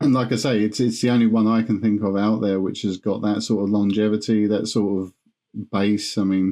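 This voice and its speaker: A man with a fairly low pitch and a dark, mellow tone speaks at a fairly quick pace. His intonation is monotone and flat, over a quiet background. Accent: British. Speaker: podcast host. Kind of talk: podcast interview.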